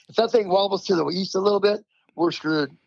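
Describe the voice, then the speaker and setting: Speaking at a very fast pace, this voice has an American accent and an animated tone. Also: man. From New Jersey Shore. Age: 60s. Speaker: pro surfer. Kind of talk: podcast interview.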